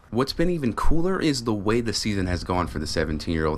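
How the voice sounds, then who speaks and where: Speaking with an American accent, a man with a fairly low pitch makes very wide pitch swings. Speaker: sports anchor and reporter. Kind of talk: human-interest news package voiceover. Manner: earnest, measured.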